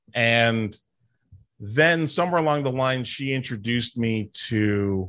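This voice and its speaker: A man speaks fairly slowly in an ordinary speaking voice at medium pitch. His pitch varies normally over a quiet background. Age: 50s. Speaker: podcast host and professional wrestler. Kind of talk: casual chat.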